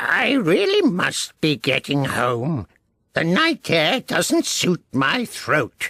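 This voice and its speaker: Someone performs a put-on character voice at a middle pitch. The pace is very slow. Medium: read story. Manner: fussy, anxious.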